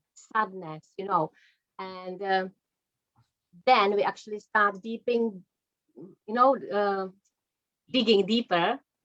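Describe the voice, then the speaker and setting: With a non-native accent, a woman speaks at a very slow pace in a medium pitch with fairly even intonation. Her speech has long, frequent pauses. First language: not English. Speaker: energy psychology practitioner. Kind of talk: interview.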